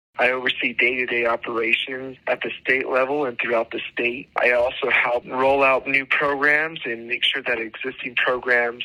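Over noticeable background noise, a man speaks with a New Mexico accent in a monotone, flat intonation. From New Mexico (Tucumcari). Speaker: government agriculture official. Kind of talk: informational interview.

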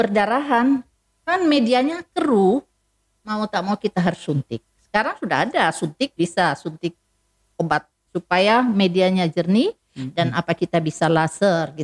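The sound is dry and close with no echo, and the pitch swings very widely. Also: woman. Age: 60s. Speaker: eye specialist doctor. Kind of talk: health talk interview. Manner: hesitant with fillers.

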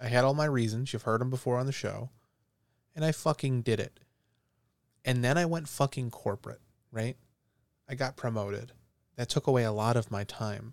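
An angry tone broken up by long, frequent pauses. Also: man, medium pitch for a man, fairly quick pace. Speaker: podcast host, motivational ranter. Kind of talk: motivational rant, solo monologue, heated and passionate. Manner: angry, fired-up, emphatic, punching out swear words; animated, self-correcting, conversational.

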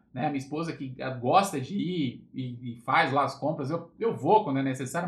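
A man with a somewhat breathy voice and fairly high pitch speaks at a moderate pace, his pitch varying in an ordinary way. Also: hardly any pauses. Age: 30s. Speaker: motivational podcaster. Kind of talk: casual livestream talk. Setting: Instagram live. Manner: casual, informal with filler words.

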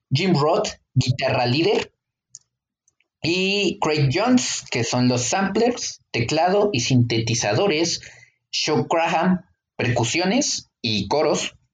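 Speech comes at a very slow pace in a Mexican accent, with long, frequent pauses. Pitch swings are very wide. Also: man. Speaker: podcast co-host. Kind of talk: casual chat.

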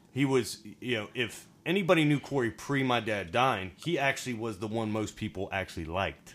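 A man with an American accent and a normal speaking voice talks at a fairly quick pace with hardly any pauses. His pitch is medium and his intonation lively. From Virginia. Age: 30s. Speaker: guest. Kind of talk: casual interview chat.

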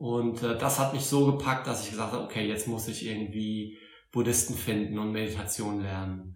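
With a slight Saarland accent, a man of fairly low pitch speaks with fairly even intonation, with noticeable background noise and audible room echo. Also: moderate pace. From Saarland, Germany (Saarbrücken). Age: 40s. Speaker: Buddhist teacher. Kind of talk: interview. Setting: Buddhist centre in Berlin.

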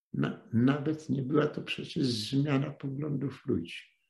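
A man's fairly high voice with vocal fry, at a very slow pace. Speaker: retired journalist lecturing on history. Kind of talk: lecture. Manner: halting, with repetitions.

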